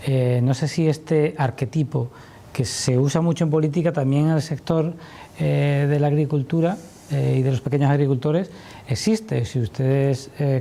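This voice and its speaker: This man has an ordinary speaking voice with a fairly high pitch. His intonation stays fairly even. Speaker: journalist. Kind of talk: TV interview question.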